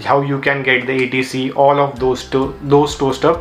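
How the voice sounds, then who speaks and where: Someone talks at a moderate pace with noticeable background noise behind them. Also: man. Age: 20s. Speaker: YouTuber, book reviewer. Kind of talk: book summary video.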